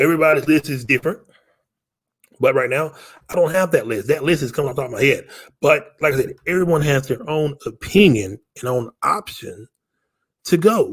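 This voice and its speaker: The voice is somewhat breathy, with long, frequent pauses. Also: man, fairly high pitch for a man, lively intonation. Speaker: sports podcast host. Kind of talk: casual sports commentary monologue. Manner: fast; halting, repetitive.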